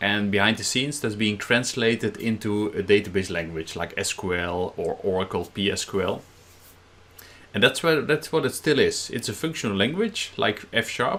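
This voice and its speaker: A man with a Dutch accent talks at a moderate pace in a fairly low voice with lively intonation. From Netherlands. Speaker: software trainer. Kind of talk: technical presentation.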